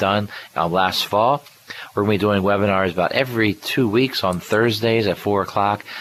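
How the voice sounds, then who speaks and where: Someone speaks at a fairly quick pace with fairly even intonation over noticeable background noise. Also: man. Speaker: radio host and financial planner. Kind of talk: radio show talk. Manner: occasionally stumbles on words.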